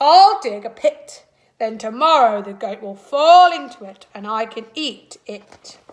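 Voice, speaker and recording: A woman puts on a character voice at a fairly high pitch. She delivers it at a fairly slow pace. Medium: read story.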